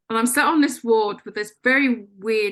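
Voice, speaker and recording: Moderately paced speech from a woman with an English accent, set against a quiet background. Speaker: life coach. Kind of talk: radio interview. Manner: loud; animated.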